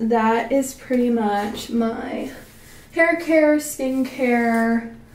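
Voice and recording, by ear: A woman talks at a very slow pace with a fairly high pitch and ordinary pitch variation. Her tone is slightly mellow, and room echo is audible.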